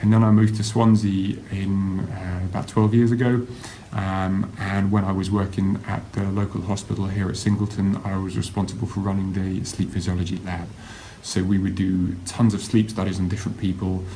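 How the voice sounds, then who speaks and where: A man with an English accent and a fairly low pitch speaks at a moderate pace in a monotone, flat intonation, with audible room echo and noticeable background noise. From England, Kent. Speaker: university lecturer. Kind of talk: live-streamed talk. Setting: Facebook live stream. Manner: hesitant, many fillers.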